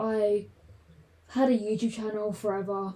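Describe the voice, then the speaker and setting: Here a woman speaks in a southern English accent. Her pitch is medium and her tone dark and mellow. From southern England, London. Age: 20s. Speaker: podcaster. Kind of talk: casual chat.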